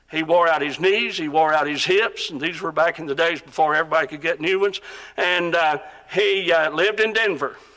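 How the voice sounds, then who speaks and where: Noticeable background noise surrounds a man's voice. His pitch is high, with ordinary variation. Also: fairly quick pace. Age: 60s. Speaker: preacher. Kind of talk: sermon. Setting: auditorium with audience.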